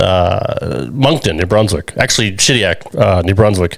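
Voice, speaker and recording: Noticeable background noise sits behind this man's voice. He talks at a moderate pace in a fairly low pitch with an American accent. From United States. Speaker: podcast co-host. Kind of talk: casual chat. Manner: hesitant, many filler words.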